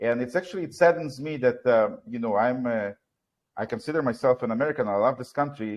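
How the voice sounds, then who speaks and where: With a non-native accent, a man speaks very fast at a medium pitch, with ordinary pitch variation. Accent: foreign. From Soviet Union. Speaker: talk show host. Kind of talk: live talk show discussion. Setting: live stream. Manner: halting, with many fillers.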